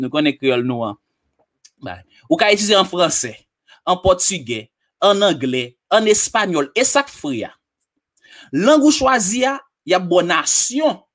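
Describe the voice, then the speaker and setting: A man's high voice at a fairly slow pace, with very wide pitch swings and long, frequent pauses over a quiet background. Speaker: online tutorial presenter; presenter. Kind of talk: tutorial. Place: home room. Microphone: studio mic.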